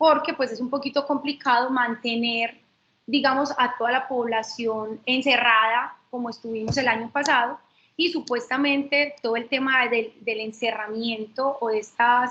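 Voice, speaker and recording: Slow-ish and fairly even in intonation, a woman speaks in a high voice. Her tone is bright and sharp. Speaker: lawyer. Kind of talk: webinar lecture. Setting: online webinar.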